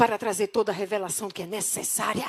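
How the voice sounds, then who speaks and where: The recording is very clean, and the background is silent. A woman speaks with an animated tone. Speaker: pastor. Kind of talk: sermon. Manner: fast.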